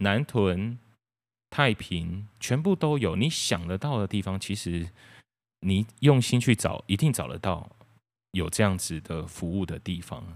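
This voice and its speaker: A man's fairly low voice at a very slow pace, in a very clean recording with a silent background. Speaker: podcast host. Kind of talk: solo monologue. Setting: recording alone at home. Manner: halting.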